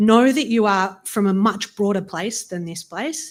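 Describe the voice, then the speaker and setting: In an Australian accent, a woman speaks at a moderate pace with a medium pitch. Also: very clean recording, silent background. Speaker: law professor. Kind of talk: audience comment at public forum. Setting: in-person event with audience.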